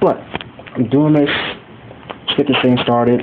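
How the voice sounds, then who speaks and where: A man at a fairly slow pace, with noticeable background noise behind him. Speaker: YouTuber reviewing Blu-ray collection. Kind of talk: casual video review. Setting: recorded on phone at home. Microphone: phone recording.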